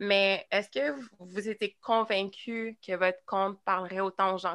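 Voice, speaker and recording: In a Quebec accent, the speaker uses fairly even intonation and a bright, sharp tone, captured in a very clean recording with a silent background. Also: woman. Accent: Québécois French. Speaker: podcast host. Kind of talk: casual chat.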